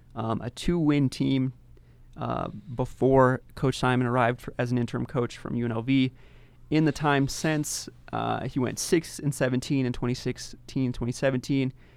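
A man with an American accent and an ordinary speaking voice, at a moderate pace with fairly even intonation. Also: medium pitch for a man. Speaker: podcast host. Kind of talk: casual chat.

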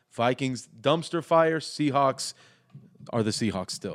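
The man's voice sits at a medium pitch. He speaks with lively intonation. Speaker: podcast co-host, sports fan. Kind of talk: casual chat.

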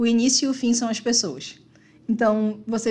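Somewhat breathy speech from a woman at a fairly high pitch and moderate pace. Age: 30s. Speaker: community team member. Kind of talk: casual chat.

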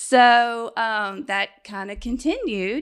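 A woman with fairly high pitch talks at a very slow pace on a very clean recording with a silent background. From Baton Rouge, Louisiana. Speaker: mother. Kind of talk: interview. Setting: studio.

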